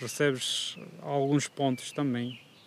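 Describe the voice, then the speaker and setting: The man's pitch is fairly high, his intonation monotone and flat. Background noise is noticeable. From Kurdistan, Turkey. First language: Kurdish or Turkish (speaking Portuguese). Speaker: food delivery courier. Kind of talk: casual chat. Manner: halting.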